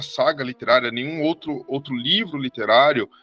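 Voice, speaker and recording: A man's voice, dry and close with no echo, over background music. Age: 30s. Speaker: historian. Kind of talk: interview.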